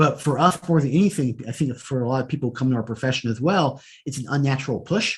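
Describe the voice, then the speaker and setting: Speaking at a very fast pace, a man with a medium pitch sounds somewhat breathy and shows ordinary pitch variation. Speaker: data analytics executive. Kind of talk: interview conversation. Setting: podcast.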